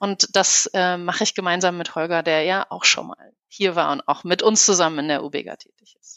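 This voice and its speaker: With ordinary pitch variation, a woman speaks at a moderate pace in a plain, everyday voice. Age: 40s. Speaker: business consultant. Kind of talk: interview.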